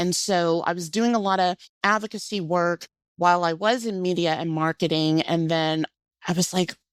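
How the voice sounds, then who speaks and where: On a very clean recording with a silent background and a dry, close sound with no echo, a woman with a slight Southern US accent speaks at a moderate pace in a fairly low pitch with ordinary pitch variation. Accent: slight Southern twang. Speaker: cancer patient advocate. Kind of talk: interview.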